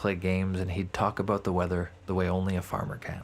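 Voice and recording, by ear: A man's low-pitched voice at a moderate pace, with little pitch movement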